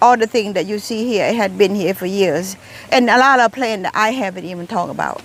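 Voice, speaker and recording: Speaking at a fairly quick pace in a Thai accent, a woman uses a medium pitch with ordinary pitch variation. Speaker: gardening vlogger. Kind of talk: casual garden tour vlog. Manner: halting, many repeated words.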